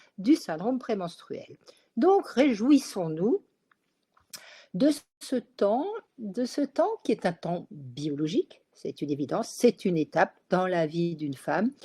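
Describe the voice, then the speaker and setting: A woman with a dark, mellow, somewhat breathy tone speaks at a fairly slow pace and a fairly high pitch, her pitch swinging very widely between long, frequent pauses, in a dry, close sound with no echo. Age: 60s. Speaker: gynecologist. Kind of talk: webinar talk. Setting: online webinar.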